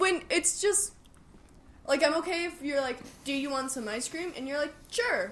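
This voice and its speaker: Loud and high-pitched, a woman speaks with lively intonation and long, frequent pauses. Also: moderate pace. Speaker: movie podcast co-host. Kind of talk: casual chat.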